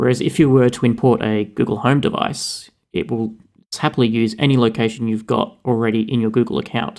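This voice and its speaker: With an Australian accent, a man talks at a fairly quick pace and medium pitch, keeping a fairly even intonation. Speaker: podcast co-host. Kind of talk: casual chat.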